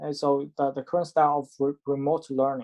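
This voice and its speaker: This man has a non-native accent and a fairly high pitch. He speaks at a moderate pace, in a dry, close sound with no echo. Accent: foreign. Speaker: professor. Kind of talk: lecture. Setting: video call. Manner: halting.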